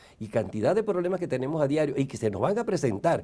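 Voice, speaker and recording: A man's fairly high voice with a dark, mellow tone on a very clean recording with a silent background. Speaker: university rector giving a conference talk. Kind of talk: lecture. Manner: fast.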